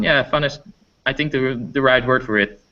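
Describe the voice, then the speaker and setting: The tone is bright and sharp. A man speaks at a fairly quick pace. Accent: Dutch. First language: Dutch. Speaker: teacher. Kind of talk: interview. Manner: halting.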